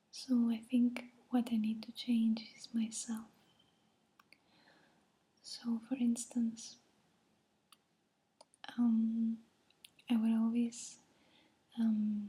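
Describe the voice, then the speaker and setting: Speaking very slowly, a woman with a non-native accent leaves long, frequent pauses. Her fairly high voice stays monotone, with flat intonation. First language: not English. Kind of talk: casual talk to camera. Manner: soft-spoken, hesitant.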